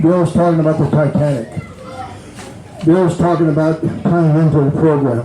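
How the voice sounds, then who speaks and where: Over noticeable background noise and audible room echo, a man with a fairly high pitch speaks at a moderate pace with very even loudness and long, frequent pauses. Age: 80s+. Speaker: recovery speaker. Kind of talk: recovery testimony talk. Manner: animated.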